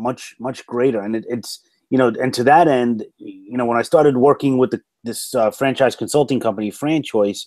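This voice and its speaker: With ordinary pitch variation, a man speaks at medium pitch and at a moderate pace. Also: very clean recording, silent background. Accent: strong New York. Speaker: motivational speaker and franchise consultant. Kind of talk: interview. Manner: animated storytelling.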